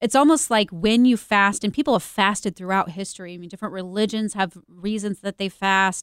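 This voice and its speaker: An animated, enthusiastic woman at medium pitch and a fairly quick pace, with ordinary pitch variation and big swings in loudness, in a very clean recording with a silent background and a dry, close sound with no echo. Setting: studio.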